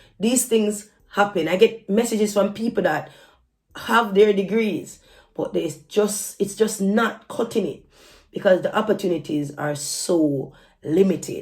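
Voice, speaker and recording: A woman's medium-pitched, somewhat breathy voice with an animated tone and ordinary pitch variation, at a fairly slow pace. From Jamaica. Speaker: YouTuber and army soldier. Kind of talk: casual vlog advice. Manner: animated, repetitive self-corrections.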